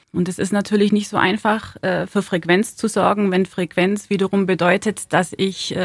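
With vocal fry, a woman speaks at a moderate pace and fairly even intonation. The sound is dry and close with no echo, on a very clean recording with a silent background. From southern Germany, Ulm (Swabia). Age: 30s. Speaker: city centre manager. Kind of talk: interview. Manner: hesitant with many fillers.

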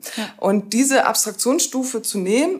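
Here is a woman with a plain, everyday voice. Her pace is moderate and her pitch variation ordinary. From northern Germany, Rostock. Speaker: sociologist and university lecturer. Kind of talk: interview about a degree programme. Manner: many filler sounds.

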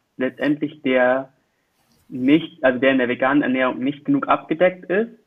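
Here a man with an ordinary speaking voice talks at a moderate pace with ordinary pitch variation. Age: 20s. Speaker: student, youth association volunteer. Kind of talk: casual chat.

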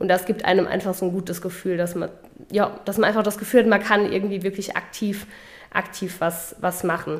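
The delivery is fairly quick. The intonation stays monotone and flat. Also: woman, medium pitch for a woman. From Saarland, Germany (Völklingen area). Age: 20s. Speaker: party official and podcast co-host. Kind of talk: casual chat.

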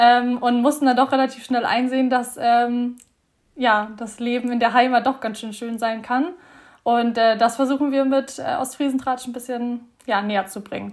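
A woman speaks with a high pitch and monotone, flat intonation at a moderate pace. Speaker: student, social media creator. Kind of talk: casual interview. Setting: video call.

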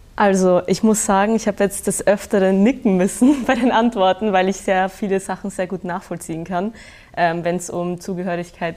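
Her pitch is medium for a woman, and she talks at a moderate pace with fairly even intonation. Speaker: student. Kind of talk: interview. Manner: hesitant.

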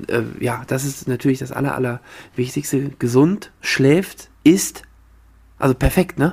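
Somewhat breathy, a man speaks at a fairly slow pace with a medium pitch and ordinary pitch variation. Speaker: table tennis podcast co-host and player. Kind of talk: casual chat.

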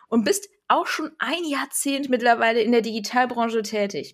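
A woman speaks at a moderate pace in a normal speaking voice, her fairly high pitch carried by lively intonation. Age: 30s. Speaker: podcast host and digital consultant. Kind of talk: scripted podcast trailer, playful.

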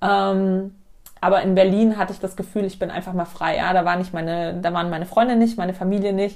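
A woman talks fairly quickly at medium pitch. It is an ordinary speaking voice with fairly even intonation. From Munich, Bavaria. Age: 20s. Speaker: workshop leader. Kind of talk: casual interview. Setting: host's living room.

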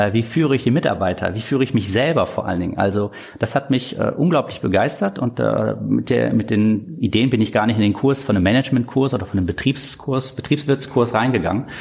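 An ordinary speaking voice from a man, medium in pitch, with ordinary pitch variation and a fairly quick pace. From Germany, northern Hesse (Korbach). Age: 30s. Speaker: dentist and practice owner. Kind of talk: interview.

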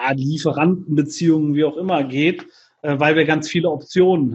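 Against a quiet background, a man speaks fairly slowly at a fairly high pitch, with ordinary pitch variation. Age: 40s. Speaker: entrepreneur and business mentor. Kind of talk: podcast interview. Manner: hesitant with frequent fillers.

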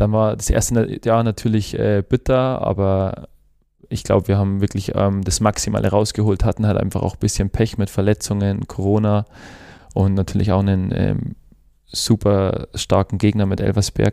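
In an Upper Bavarian accent, a man speaks at a moderate pace in a fairly low, dark and mellow voice with monotone, flat intonation. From Upper Bavaria, Germany (Chiemgau). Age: 20s. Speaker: professional footballer. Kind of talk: casual interview. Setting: studio. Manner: hesitant, many fillers.

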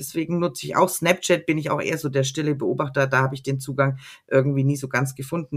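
Speaking with a Franconian accent, a woman uses a very deep, low voice with ordinary pitch variation. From Middle Franconia, Erlangen. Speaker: secondary school teacher. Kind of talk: casual interview.

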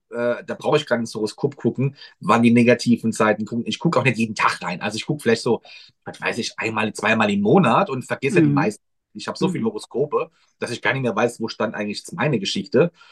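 A man talks very fast at medium pitch with lively intonation, and the sound is dry and close with no echo. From Mannheim, Germany. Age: 30s. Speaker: astrologer. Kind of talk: casual chat.

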